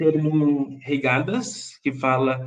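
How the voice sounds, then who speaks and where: A man speaks very slowly in a Brazilian accent. His intonation is fairly even, with audible room echo. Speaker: panel moderator. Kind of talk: panel discussion moderation. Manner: deliberately slow for interpreters; frequent filler 'é'.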